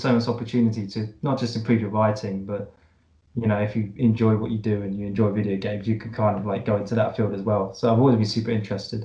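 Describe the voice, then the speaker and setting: Very fast, somewhat breathy male speech, medium in pitch, with a dark, mellow tone and monotone, flat intonation. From Brighton, southern England. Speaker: podcast host. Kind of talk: podcast interview.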